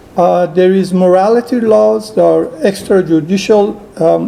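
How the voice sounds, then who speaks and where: Amid noticeable background noise, a man with a high pitch speaks at a fairly slow pace. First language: Persian. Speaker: human rights activist and filmmaker. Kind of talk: conference talk. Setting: conference hall with audience. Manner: halting, many fillers.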